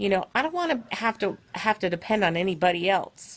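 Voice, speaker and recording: Against a quiet background, a woman talks at a moderate pace and medium pitch. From US South, Florida (Fort Lauderdale). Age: 50s. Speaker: online business owner, vlogger. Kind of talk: casual livestream monologue. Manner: hesitant, many fillers.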